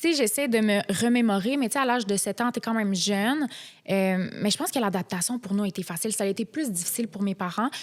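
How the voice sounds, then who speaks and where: A woman with a fairly high voice speaks at a very fast pace. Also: very even loudness, very clean recording, silent background. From Quebec, immigrated from Morocco at age 7. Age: 20s. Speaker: reality TV contestant. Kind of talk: podcast interview.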